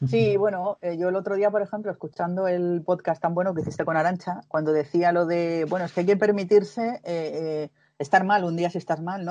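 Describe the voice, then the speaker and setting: A woman with an unremarkable speaking voice talks at a fairly quick pace, her pitch fairly low with ordinary variation, against a quiet background. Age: 40s. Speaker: patient advocate. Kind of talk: interview.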